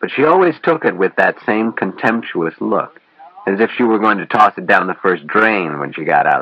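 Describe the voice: Someone reads aloud plainly, with intonation that stays lively.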